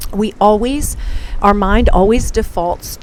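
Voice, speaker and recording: A woman speaking, with music in the background. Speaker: podcast host. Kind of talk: casual monologue. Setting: outdoors on a hotel balcony. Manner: fast.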